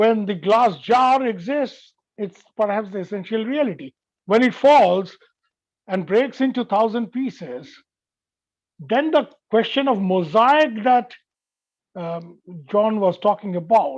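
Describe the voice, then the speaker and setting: Bengali accent with long, frequent pauses. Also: man, high pitch for a man, fairly slow pace. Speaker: veteran journalist. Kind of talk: lecture.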